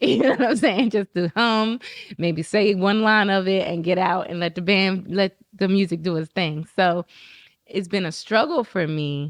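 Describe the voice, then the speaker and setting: The recording has a dry, close sound with no echo. A woman with an unremarkable speaking voice talks at a fairly slow pace and medium pitch, with ordinary pitch variation. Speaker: podcast host and singer. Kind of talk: casual interview chat.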